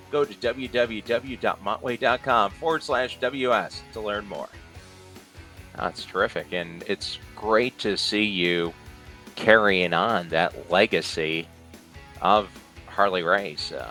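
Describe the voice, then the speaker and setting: The speech moves at a very slow pace, with long, frequent pauses and ordinary pitch variation. Music is in the background. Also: man, fairly low pitch for a man. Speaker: wrestling interviewer / host. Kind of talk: interview host talking to a guest and reading a sponsor ad.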